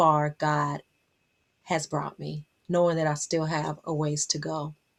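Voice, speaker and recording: This is a woman with an American accent. She speaks at a fairly slow pace. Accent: Southern US, comes out when comfortable. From Las Vegas, Nevada, US, Southern family. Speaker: motivational speaker and life coach. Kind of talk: motivational vlog monologue. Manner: animated.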